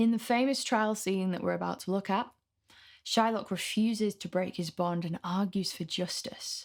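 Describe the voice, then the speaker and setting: Talking in a Mancunian accent, a woman keeps a medium pitch, a moderate pace and fairly even intonation in a very clean recording with a silent background. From northern England, Manchester. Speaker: literature tutor. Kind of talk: lecture.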